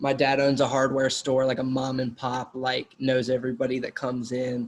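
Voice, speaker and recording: Speaking with a Southern accent, a man holds a medium pitch at a moderate pace. His intonation is monotone and flat. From US South, North Carolina. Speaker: actor. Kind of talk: interview. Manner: casual.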